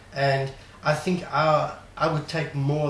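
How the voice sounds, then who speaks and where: Amid noticeable background noise and audible room echo, a man speaks with a fairly high pitch and fairly even intonation. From South Africa. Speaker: trading course attendee. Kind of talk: interview. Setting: studio. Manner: halting.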